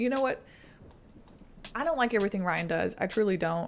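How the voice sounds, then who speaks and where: With a Southern US accent, a woman talks at a very fast pace. Her pitch sits at a medium level. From East Tennessee. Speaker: weather streamer. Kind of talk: charity livestream chat. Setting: livestream. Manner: stuttering, halting.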